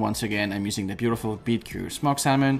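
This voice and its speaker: The voice has ordinary pitch variation. Faint music plays in the background. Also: man. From France. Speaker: chef; chef host. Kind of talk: cooking tutorial. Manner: animated. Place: kitchen.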